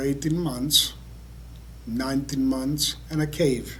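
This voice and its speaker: His voice carries audible room echo. The man talks fairly slowly. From Greece (Larissa). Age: 70s. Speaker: Holocaust survivor. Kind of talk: testimony.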